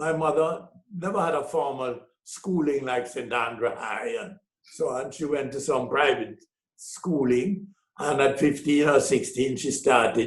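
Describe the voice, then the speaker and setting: Somewhat breathy, a man speaks in a fairly high pitch. His pace is fairly slow. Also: ordinary pitch variation. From Jamaica. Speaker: businessman and author. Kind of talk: interview. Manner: halting.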